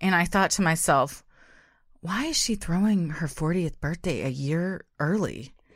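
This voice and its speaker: A normal speaking voice from a woman, fairly low in pitch with ordinary variation, at a fairly slow pace over a very clean recording and silent background. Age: 30s. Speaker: true crime podcast co-host. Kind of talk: scripted narration; casual chat.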